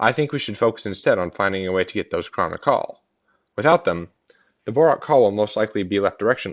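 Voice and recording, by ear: A natural voice reads aloud with lively intonation, the background quiet.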